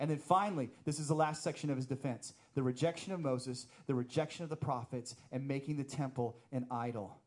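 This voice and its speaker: Fairly high pitch for a man, ordinary pitch variation, and a fairly quick pace. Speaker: pastor. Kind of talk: sermon. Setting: church. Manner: fast.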